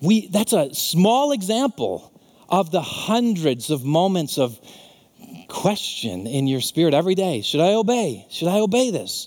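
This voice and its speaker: Speaking at a fairly slow pace, a man uses a high pitch with very wide pitch swings and very even loudness. Noticeable background noise can be heard. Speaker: pastor. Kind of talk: sermon. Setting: church. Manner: earnest, animated preaching that turns to fervent, heartfelt prayer near the end.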